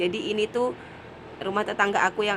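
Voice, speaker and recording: A woman speaks over noticeable background noise. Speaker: vlogger. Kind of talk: vlog voice-over narration. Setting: dubbed voice-over. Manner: casual.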